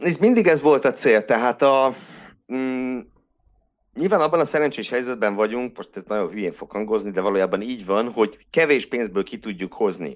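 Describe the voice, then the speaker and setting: A man with a plain, everyday voice, medium pitch, lively intonation and a moderate pace over a quiet background. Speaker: classics lecturer and Formula 1 podcaster. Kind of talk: casual chat.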